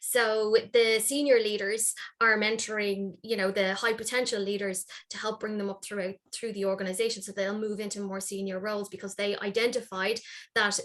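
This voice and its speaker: A woman with an Irish accent speaks at a medium pitch and a moderate pace. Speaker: workplace wellness consultant. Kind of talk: panel discussion.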